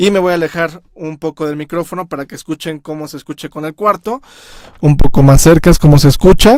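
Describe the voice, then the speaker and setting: This man talks at a fairly quick pace with big swings in loudness. His pitch sits fairly high. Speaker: music producer. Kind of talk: tutorial. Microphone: picks up room sound when far.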